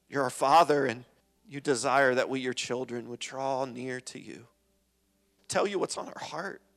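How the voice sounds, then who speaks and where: A man speaks at a moderate pace and medium pitch, with fairly even intonation. His loudness swings widely, and he pauses long and often. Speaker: church prayer leader. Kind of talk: fervent congregational prayer. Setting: church. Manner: earnest, heartfelt, pausing and repeating phrases.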